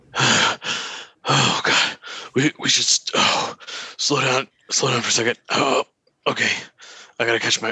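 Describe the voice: A raspy, put-on character voice crawls along at a very slow pace with long, frequent pauses. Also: man, medium pitch for a man.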